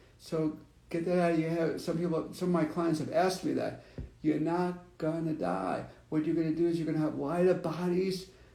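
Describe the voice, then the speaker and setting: Speaking at a fairly quick pace, a man with a high voice uses monotone, flat intonation amid audible room echo. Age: 50s. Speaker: psychic reader. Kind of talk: spiritual reading. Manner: conversational, halting.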